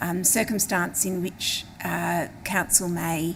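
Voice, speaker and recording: A woman with an Australian accent speaks very slowly in a fairly low pitch, her voice showing vocal fry against audible room echo. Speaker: local councillor. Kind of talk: council meeting motion reading; council debate speech. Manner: hesitant, many fillers.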